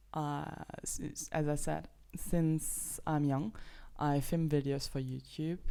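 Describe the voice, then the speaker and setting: In a Luxembourgish accent, a woman speaks with a very deep, low pitch and a dark, mellow tone. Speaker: podcast host. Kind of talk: casual monologue. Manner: halting.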